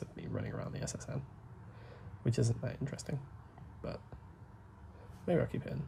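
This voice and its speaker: A man speaks with a British accent. His voice is soft-spoken. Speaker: gaming YouTuber. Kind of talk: gameplay commentary. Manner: soft-spoken, holding back volume; rambling, hesitant.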